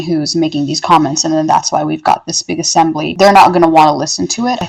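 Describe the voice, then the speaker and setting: A woman with a Canadian accent talks in an unremarkable speaking voice, pitched fairly low. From Toronto, Canada. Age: 20s. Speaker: poet. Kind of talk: podcast interview answer.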